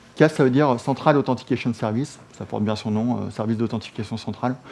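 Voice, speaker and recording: Amid light background noise, a man speaks at a moderate pace and medium pitch with fairly even intonation. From France. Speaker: software security expert; presenter. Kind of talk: technical presentation. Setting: office meeting room with colleagues. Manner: hesitant, many fillers. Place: meeting room.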